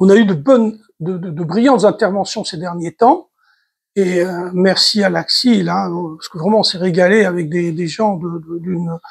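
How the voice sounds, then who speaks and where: A man's high-pitched voice at a fairly slow pace, in a very clean recording with a silent background. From Tunisia. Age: 70s. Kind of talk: talk to community audience. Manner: halting, many repetitions.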